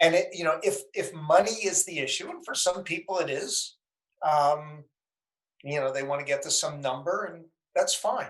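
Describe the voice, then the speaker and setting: A man with an American accent speaks at a high pitch and moderate pace, with ordinary pitch variation. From US Northeast, Danbury, Connecticut. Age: 60s. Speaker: entrepreneur and investor. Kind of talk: podcast interview.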